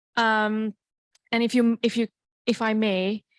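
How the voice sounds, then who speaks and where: With an unremarkable speaking voice, a woman talks at a fairly high pitch and moderate pace, the sound dry and close with no echo against a quiet background. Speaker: audience member asking a question. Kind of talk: question from the floor.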